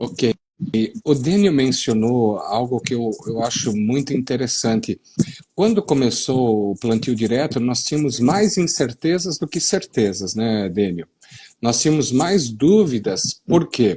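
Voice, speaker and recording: Somewhat breathy and dark, mellow in tone, a man speaks at a fairly slow pace in a medium pitch that swings very widely. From western Paraná, Brazil (gaúcho colony). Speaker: soil science professor. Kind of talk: live-stream discussion. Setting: online live stream.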